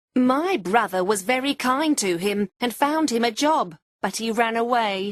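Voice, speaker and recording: Putting on a character voice, a woman speaks at a moderate pace with lively intonation and a fairly high pitch. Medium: read story.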